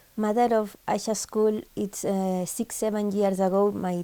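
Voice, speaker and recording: In a very clean recording with a silent background, a woman speaks in a dark, mellow tone with fairly even intonation. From Spain. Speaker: social activist, special school founder. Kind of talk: interview. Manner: halting.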